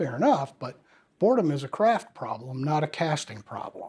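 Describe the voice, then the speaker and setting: A man's voice, dark, mellow and somewhat breathy, moves at a moderate pace. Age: 60s. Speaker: actor and acting career coach. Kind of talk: direct-to-camera advice talk. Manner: conversational.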